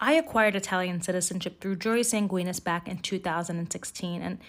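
This woman has an unremarkable speaking voice with an American accent. Her pitch is medium with ordinary variation, and her pace is fairly quick. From United States. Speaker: podcast host and citizenship consultant. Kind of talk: scripted educational podcast.

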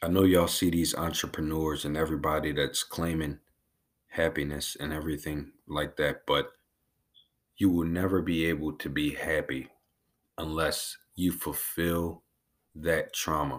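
Delivered in a monotone, flat intonation at a moderate pace, the speech has long, frequent pauses. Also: man, very deep, low pitch for a man. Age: 20s. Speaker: podcast host. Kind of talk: personal monologue.

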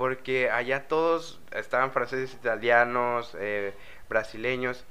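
A man speaks at a medium pitch in a bright, sharp tone. His intonation stays fairly even. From Mexico, Veracruz. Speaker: exchange student. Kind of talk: casual chat.

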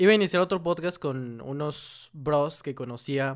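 A man speaks in a normal speaking voice with fairly high pitch and lively intonation. His pace is fairly slow, in a very clean recording with a silent background. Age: 18. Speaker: podcast co-host and video creator. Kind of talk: casual chat.

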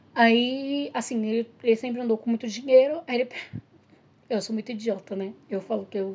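A woman with a fairly high pitch and an ordinary speaking voice talks at a moderate pace. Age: 30s. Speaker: podcast guest, host's partner. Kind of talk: casual chat.

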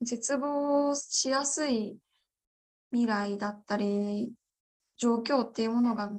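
This woman's fairly high voice moves with ordinary pitch variation at a very slow pace, broken by long, frequent pauses. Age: 20s. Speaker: parliamentary candidate. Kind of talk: interview.

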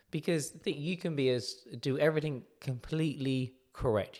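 A man with an English accent at a fairly quick pace, on a very clean recording with a silent background. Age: 30s. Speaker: podiatrist and clinic owner. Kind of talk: casual chat.

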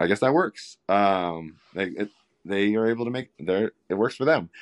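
Against a quiet background, a man talks at a moderate pace with a dry, close sound and no echo. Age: 40s. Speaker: masters marathon runner and father. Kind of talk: casual chat. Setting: phone call.

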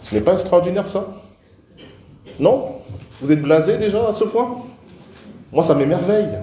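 The speaker's lively intonation comes at a fairly slow pace, broken by long, frequent pauses, with noticeable background noise behind it. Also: man, high pitch for a man. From Cameroon. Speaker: pastor. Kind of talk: sermon. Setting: church.

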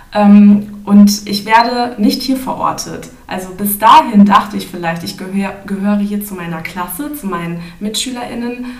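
Noticeable background noise sits behind a woman speaking at a moderate pace. Her loudness swings widely. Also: medium pitch for a woman, ordinary pitch variation. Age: 20s. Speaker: student and trainee teacher, podcast guest. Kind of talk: podcast interview, partly academic explanation. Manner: hesitant, many filler sounds.

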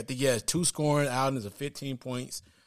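Vocal fry runs through a man's moderately paced speech. The recording is very clean with a silent background. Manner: animated.

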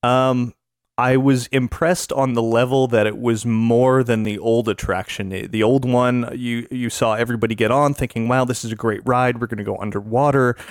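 With hardly any pauses, a man of medium pitch talks at a moderate pace in a monotone, flat intonation. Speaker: podcaster.

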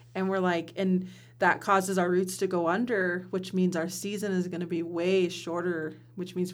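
At a moderate pace, a woman with an American accent speaks at fairly low pitch in a monotone, flat intonation, with audible room echo. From US Pacific Northwest, Warm Springs reservation, Oregon. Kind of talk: interview conversation. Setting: studio.

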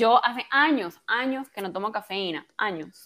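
Her voice fairly high, a woman talks with ordinary variation in pitch. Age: 30s. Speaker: health and hormone coach. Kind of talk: interview. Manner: soft, gentle.

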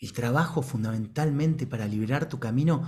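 Medium in pitch with ordinary variation, a man talks at a moderate pace. His tone is dark and mellow, and somewhat breathy. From Argentina, Buenos Aires. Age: 40s. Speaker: ontological coach, organization director. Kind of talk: talk to online audience.

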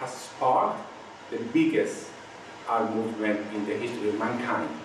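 Over noticeable background noise, a man speaks with a Spanish accent and lively intonation. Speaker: visual artist and activist. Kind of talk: panel discussion.

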